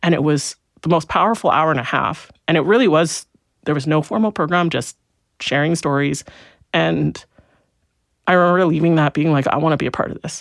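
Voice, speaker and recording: A woman with a Canadian accent talks at a fairly quick pace in a very deep, low pitch, leaving long, frequent pauses. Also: ordinary pitch variation, very clean recording, silent background. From Canada, Alberta (St. Albert, near Edmonton). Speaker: accountant and business valuator. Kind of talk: podcast interview. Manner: halting, many fillers and restarts.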